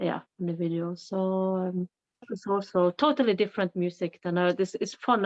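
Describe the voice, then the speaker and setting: With a Norwegian accent, a woman speaks at a moderate pace in a fairly low pitch with ordinary pitch variation. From Norway. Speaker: singer. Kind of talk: podcast interview. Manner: halting.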